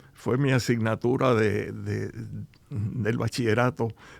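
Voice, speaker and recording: A man's voice with vocal fry. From Cuba. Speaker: business founder. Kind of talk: interview. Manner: halting.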